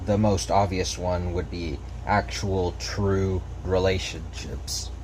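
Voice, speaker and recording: Very slowly, a man talks at a very deep, low pitch. Noticeable background noise and audible room echo fill the recording. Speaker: gaming video creator. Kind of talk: unscripted commentary over gameplay. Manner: stutter; casual, slightly halting.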